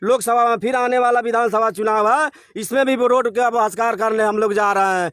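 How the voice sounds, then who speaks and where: Extremely high in pitch, a man's voice moves at a moderate pace with hardly any pauses, fairly even intonation and very even loudness. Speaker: villager. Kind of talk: street interview complaint.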